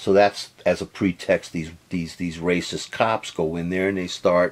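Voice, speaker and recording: Very slowly, a man talks with a very deep, low pitch. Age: 60s. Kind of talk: casual social and political commentary to camera. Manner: rambling, hesitant.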